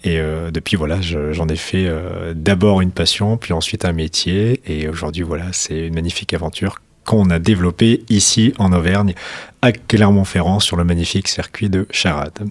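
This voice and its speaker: A man speaks at a moderate pace in a very deep, low voice with fairly even intonation. The recording is very clean, with a silent background. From France, Hautes-Alpes. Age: 20s. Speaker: racing school founder. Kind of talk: radio interview.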